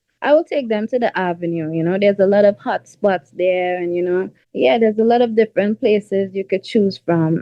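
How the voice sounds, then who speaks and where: A woman's fairly quick speech in a Trinidadian accent, medium in pitch with ordinary pitch variation and hardly any pauses. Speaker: R&B singer. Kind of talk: interview. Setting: radio show interview. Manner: casual, filler-heavy.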